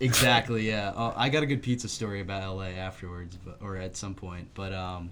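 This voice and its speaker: A man with an American accent and a normal speaking voice, fairly low in pitch, fairly quick with hardly any pauses, ordinary pitch variation and big swings in loudness. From New Jersey (North Jersey). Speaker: film and music enthusiast, former record label intern. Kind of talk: casual podcast chat. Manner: casual, filler-heavy.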